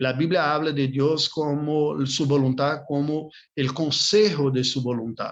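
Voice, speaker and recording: A fairly high-pitched male voice in a Brazilian accent, with fairly even intonation at a fairly slow pace. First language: Portuguese (speaking Spanish). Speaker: Bible course teacher. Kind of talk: online class lecture. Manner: halting, with fillers and repetitions.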